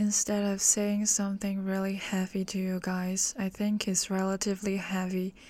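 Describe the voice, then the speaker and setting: Speaking with hardly any pauses, a woman with a slight American accent has a dark, mellow tone and monotone, flat intonation. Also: medium pitch for a woman, moderate pace. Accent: slightly American. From Hong Kong. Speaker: podcast host. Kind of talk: solo monologue.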